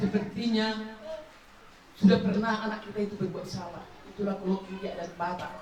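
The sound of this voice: Audible room echo surrounds a fairly quick delivery with a slightly mellow tone and fairly even intonation. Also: woman, medium pitch for a woman.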